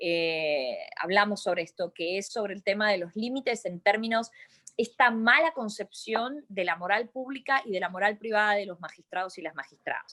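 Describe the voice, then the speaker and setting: A woman speaks with an Argentine accent. Her intonation is lively. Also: medium pitch for a woman, moderate pace. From Argentina. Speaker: lawyer and university lecturer. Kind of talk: webinar discussion.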